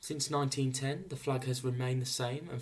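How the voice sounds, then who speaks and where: Somewhat breathy, a man with a medium pitch talks at a fairly quick pace. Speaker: flag history presenter. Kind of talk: educational narration.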